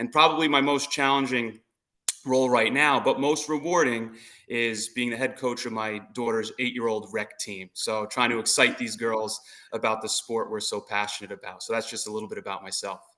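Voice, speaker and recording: Speaking at a moderate pace, a man with an American accent has a bright, sharp tone and a medium pitch with ordinary pitch variation. The background is quiet. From New Jersey. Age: 40s. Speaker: softball coach and phys ed teacher. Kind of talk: interview.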